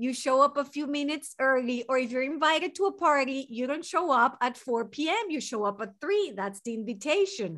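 In a Venezuelan accent, a woman talks at a moderate pace. Her voice is high and her pitch swings very widely. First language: Spanish. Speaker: mental health therapist. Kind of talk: interview.

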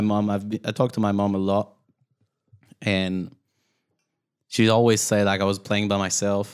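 A man with a Quebec accent speaks at a fairly low pitch and a moderate pace. His long, frequent pauses sit in a very clean recording with a silent background. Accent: Québécois French-accented English. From Quebec, Canada. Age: 30s. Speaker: podcast co-host. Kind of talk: casual chat.

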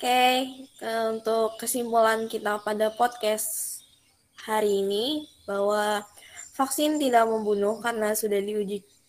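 Spoken at a fairly slow pace with fairly even intonation, this is a plain, everyday voice. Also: woman. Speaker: podcast moderator. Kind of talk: casual discussion.

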